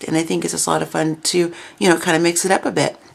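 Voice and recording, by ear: Doing a raspy put-on character voice, a woman talks at a very fast pace with a very deep, low pitch.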